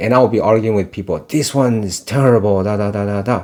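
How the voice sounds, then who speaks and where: A man with a non-native accent talks at a fairly low pitch with ordinary pitch variation. His tone is dark and mellow. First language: not English. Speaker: fragrance reviewer. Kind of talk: casual chat. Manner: halting, many fillers.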